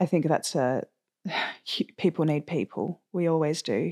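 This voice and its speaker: Recorded very cleanly with a silent background and a dry, close sound without echo, a woman with an Australian accent speaks fairly slowly at a fairly low pitch with ordinary pitch variation. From Australia, Sydney. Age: 20s. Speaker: mental health advocate. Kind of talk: personal testimony. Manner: animated.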